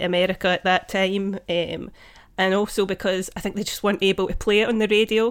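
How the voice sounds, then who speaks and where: A woman speaks at a medium pitch with a Scottish accent. The recording is very clean with a silent background, and her pace is moderate. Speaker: podcast co-host. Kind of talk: casual chat. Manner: melodic.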